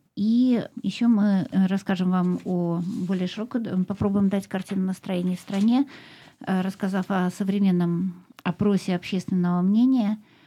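With a dark, mellow, somewhat breathy tone, a woman talks at a fairly slow pace and medium pitch, her intonation fairly even, in a very clean recording with a silent background. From Russia, Moscow. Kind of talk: radio show. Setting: studio.

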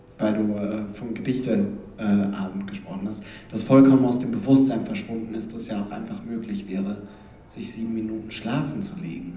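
A man's voice at middling speed, with clear noise all around. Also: medium pitch for a man, ordinary pitch variation. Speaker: slam poet and panelist. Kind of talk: panel discussion.

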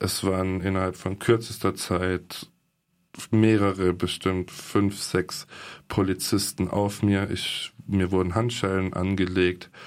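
A man's very deep, low voice at a very slow pace, flat and monotone, in a very clean recording with a silent background. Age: 20s. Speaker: alleged victim of police violence. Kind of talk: interview testimony. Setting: studio.

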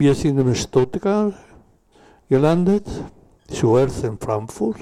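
A man speaks with a Spanish accent. His tone is dark and mellow. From southern Chile. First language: Spanish (speaking German). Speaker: former political prisoner, witness. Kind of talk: panel talk, personal testimony. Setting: café event with audience. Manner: halting.

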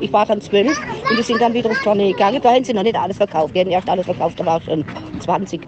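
This woman talks at a very fast pace with lively intonation and a medium pitch. Noticeable background noise runs behind her. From southern Germany, Singen and Freiburg (Baden). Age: 70s. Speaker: Yenish contemporary witness. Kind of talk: interview, life story. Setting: outdoors at a festival ground. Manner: halting.

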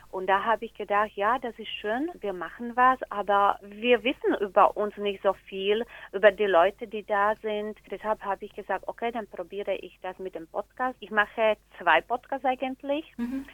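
A woman with a Slovak accent, fairly high-pitched, big swings in loudness and ordinary pitch variation. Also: moderate pace. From Slovakia. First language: Slovak (speaking German). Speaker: teacher and community organizer. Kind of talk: interview. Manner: halting, with fillers.

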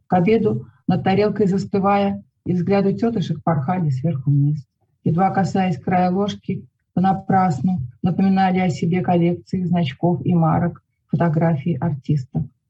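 Over music in the background, a woman speaks at a moderate pace and fairly low pitch with ordinary pitch variation and very even loudness. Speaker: poet and writer. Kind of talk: poetry reading aloud, calm and measured, with brief spoken intro.

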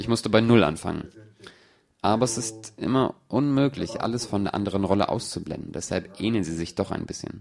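His pitch variation is ordinary. The man speaks at a fairly quick pace. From Brazil. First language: Portuguese (speaking German). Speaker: film director. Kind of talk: audience Q&A, German dub. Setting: stage with audience.

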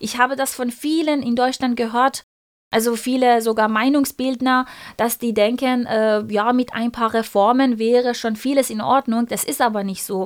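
Heard on a very clean recording with a silent background, a woman with a Persian accent speaks at a moderate pace in a high voice with fairly even intonation. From Iran. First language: Persian (speaking German). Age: 30s. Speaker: activist, pharmacy trainee. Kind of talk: interview. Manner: halting, many fillers.

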